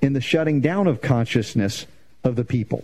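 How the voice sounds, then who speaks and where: In a dark, mellow, somewhat breathy tone, a man of medium pitch talks at a fairly quick pace with ordinary pitch variation. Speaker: radio host. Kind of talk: radio talk show.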